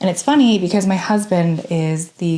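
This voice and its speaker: Noticeable background noise runs throughout. Over it, a woman talks at a moderate pace. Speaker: sewing content creator. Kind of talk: casual vlog narration. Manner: casual.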